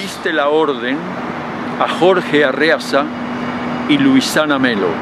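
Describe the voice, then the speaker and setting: The recording is dry, with no echo, and noticeable background noise. A man speaks at a fairly slow pace. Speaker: street reporter or activist. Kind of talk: on-location appeal to camera, denunciation. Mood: indignant, insistent. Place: street. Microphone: handheld.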